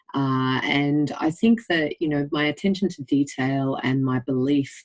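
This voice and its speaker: A woman with an Australian accent speaks in a very deep, low pitch. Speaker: general practitioner. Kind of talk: interview.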